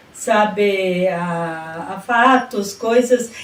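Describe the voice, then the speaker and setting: Noticeable background noise fills the recording. Through it, a woman's pitch rises and falls in an ordinary way. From southern Brazil, rural Rio Grande do Sul (Casca). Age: 60s. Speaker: retired education secretary and teacher. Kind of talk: radio interview.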